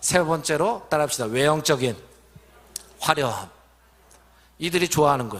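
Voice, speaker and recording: Pausing long and often, a man with a fairly high pitch talks with lively intonation. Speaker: pastor. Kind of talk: sermon. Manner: fast.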